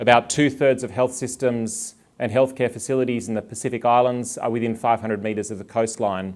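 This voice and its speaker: Fairly quick in pace, a man talks with an Australian accent. His pitch is medium and his intonation fairly even. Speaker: public health official. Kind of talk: conference talk.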